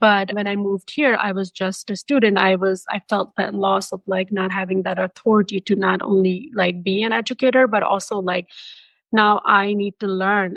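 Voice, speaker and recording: Speaking at a moderate pace with a non-native accent, a woman uses a medium pitch and fairly even intonation. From Pakistan. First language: not English. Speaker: MFT educator. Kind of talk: podcast interview.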